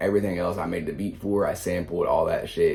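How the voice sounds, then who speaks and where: Audible room echo fills the recording. In it, a man is talking. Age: 20s. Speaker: rapper and music producer. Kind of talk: casual reaction commentary. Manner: casual, rambling with repetitions.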